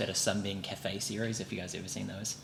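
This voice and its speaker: A man with a New Zealand accent speaks at a fairly low pitch. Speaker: podcast co-host. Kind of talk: casual chat.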